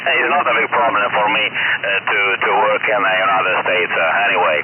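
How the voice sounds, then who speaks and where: Speaking at a fairly quick pace with very even loudness, a man is heard over noticeable background noise. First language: Italian. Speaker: geologist, ham radio operator. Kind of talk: casual chat. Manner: halting.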